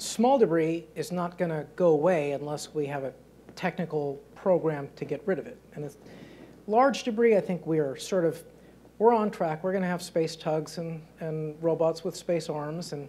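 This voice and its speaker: This man talks at a moderate pace with a high pitch and ordinary pitch variation. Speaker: panelist. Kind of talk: panel discussion answer. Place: hall. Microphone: lapel.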